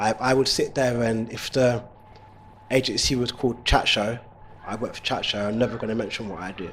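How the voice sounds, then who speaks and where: Fairly quick, monotone male speech at a medium pitch with flat intonation, big swings in loudness and noticeable background noise. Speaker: male nanny, childcare business owner. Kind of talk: interview answer.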